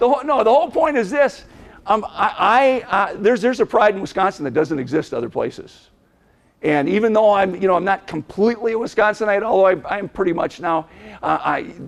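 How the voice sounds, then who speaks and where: With an Upper Midwest accent, a man talks at a fairly quick pace in a high pitch, with lively intonation and an animated tone. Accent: Upper Midwest American. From Minnesota, Minneapolis. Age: 60s. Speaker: motivational speaker. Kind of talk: keynote speech to an audience. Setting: stage with audience.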